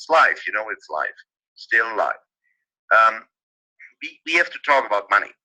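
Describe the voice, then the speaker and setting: The speaker is a man with a non-native accent. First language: not English. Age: 50s. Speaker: webinar presenter. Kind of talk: live webinar talk. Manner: halting, many fillers.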